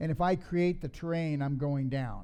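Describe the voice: The man's voice sits fairly high in pitch, with a dark, mellow tone that is also clear and smooth. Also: ordinary pitch variation, moderate pace.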